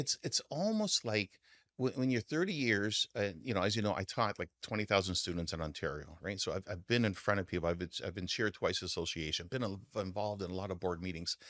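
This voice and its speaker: A man at a moderate pace with ordinary pitch variation, in a very clean recording with a silent background. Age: 60s. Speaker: mortgage broker. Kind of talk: casual interview. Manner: halting, many restarts.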